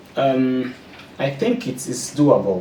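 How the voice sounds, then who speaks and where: With noticeable background noise and audible room echo, a man speaks in a French accent. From Burundi. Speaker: postdoctoral researcher. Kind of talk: interview. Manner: halting, repeats words.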